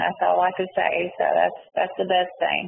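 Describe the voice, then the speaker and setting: In a Southern US accent, a woman talks at a fairly slow pace with noticeable background noise behind her. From North Carolina, Mount Olive and Goldsboro. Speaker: prison inmate, interviewee. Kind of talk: interview. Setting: prison phone call. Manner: hesitant, many fillers.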